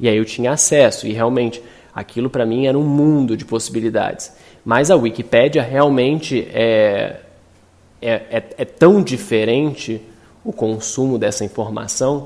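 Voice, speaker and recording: At a fairly slow pace, a man uses a normal speaking voice at a medium pitch with ordinary pitch variation. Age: 30s. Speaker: designer and artist. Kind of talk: talk.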